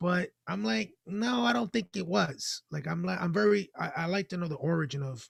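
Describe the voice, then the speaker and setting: In a dry, close sound with no echo, a man talks at a moderate pace with a high pitch and lively intonation. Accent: Spanish. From Dominican Republic heritage, raised in US. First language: Spanish. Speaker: financial literacy organization member. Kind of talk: casual chat. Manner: halting.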